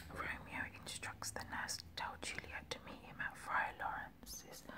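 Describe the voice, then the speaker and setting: Everything is whispered. The delivery moves fairly slowly. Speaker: ASMR reader. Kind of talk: narrated scene summary between character lines. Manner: whispered, relaxing.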